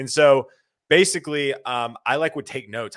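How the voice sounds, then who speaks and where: With a Southern US accent, a man talks at a fairly quick pace in a fairly high pitch, captured in a very clean recording with a silent background. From US South, South Carolina (Lexington near Columbia). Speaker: tech recruiter. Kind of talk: casual chat. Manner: halting.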